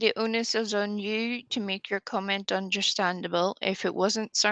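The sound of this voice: The intonation is fairly even. It comes in an unforced reading voice.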